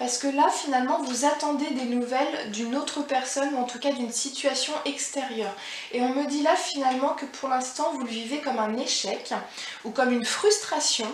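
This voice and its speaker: Over noticeable background noise and audible room echo, a woman with a high pitch speaks at a moderate pace, with ordinary pitch variation. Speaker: tarot card reader. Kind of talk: psychic reading. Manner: halting.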